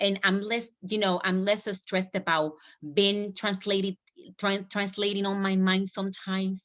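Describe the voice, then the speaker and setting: The speaker has a Spanish accent and a monotone, flat intonation, talking at a moderate pace against a quiet background. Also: woman, medium pitch for a woman. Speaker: business coach. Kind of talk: team training call. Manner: halting.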